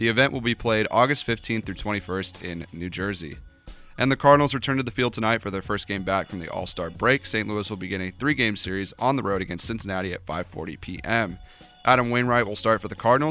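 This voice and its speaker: Speaking at a very fast pace, a man uses a fairly low pitch and ordinary pitch variation. Noticeable background noise runs underneath. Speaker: radio co-host. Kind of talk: sports headlines reading, then casual chat. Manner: brisk, straightforward news-reader delivery.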